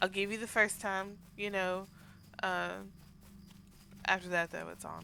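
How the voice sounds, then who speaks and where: With a Southern US accent and a bright, sharp tone, the speaker moves at a fairly slow pace, taking long, frequent pauses amid big swings in loudness. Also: woman. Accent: Southern twang. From US South. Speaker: game streamer. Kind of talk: casual chat.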